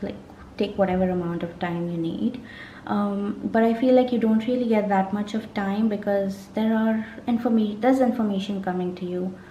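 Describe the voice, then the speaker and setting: Audible room echo and noticeable background noise surround a woman speaking at a medium pitch. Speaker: tarot reader. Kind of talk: tarot reading monologue.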